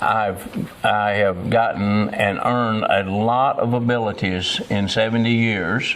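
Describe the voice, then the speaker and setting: Over noticeable background noise, a man talks in a fairly low voice with ordinary pitch variation. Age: 70s. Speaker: political candidate. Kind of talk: interview. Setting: college campus.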